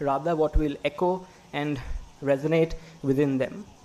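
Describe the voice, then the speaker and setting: Here is a man speaking. He has a Gujarati accent. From Gujarat, India. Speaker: graduating student. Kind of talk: speech. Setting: stage with audience.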